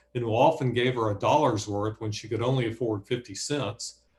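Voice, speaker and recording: In a Southern US accent, a man talks at a medium pitch and a moderate pace. His voice is somewhat breathy, with ordinary pitch variation. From Alabama, Bessemer near Birmingham. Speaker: author and professor. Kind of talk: reading aloud. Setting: video call.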